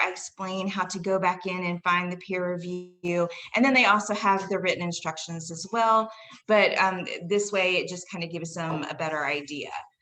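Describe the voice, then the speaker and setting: A woman's mid-range voice, with fairly level intonation, moves along at a medium speed. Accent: Southern US. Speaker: college English instructor. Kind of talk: faculty presentation. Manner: casual, with fillers.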